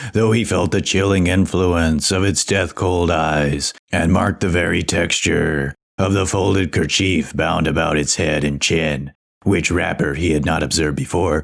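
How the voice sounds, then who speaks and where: A man puts on a character voice, pitched very deep and low. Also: moderate pace. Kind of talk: audiobook reading of classic literature.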